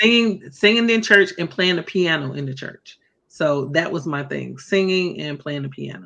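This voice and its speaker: A woman with an American accent at a moderate pace, fairly low in pitch, with lively intonation, big swings in loudness and music in the background. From US South, North Carolina. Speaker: singer and entrepreneur. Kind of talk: interview.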